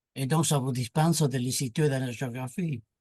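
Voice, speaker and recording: Against a quiet background, a man talks at a fairly slow pace with a somewhat breathy voice. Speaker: moderator and philosopher-sociologist. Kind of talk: panel discussion. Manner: animated.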